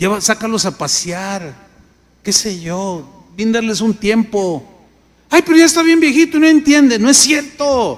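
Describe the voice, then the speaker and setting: The speech moves at a fairly slow pace while the pitch swings very widely. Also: man, high pitch for a man. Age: 60s. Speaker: pastor. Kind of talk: sermon.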